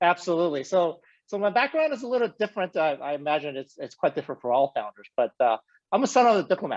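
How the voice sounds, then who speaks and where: A man's high voice at a very fast pace, with very wide pitch swings, a dry, close sound without echo and a quiet background. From South America (Colombia, Bolivia). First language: Spanish and Chinese. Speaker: company founder and CEO. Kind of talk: interview. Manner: halting.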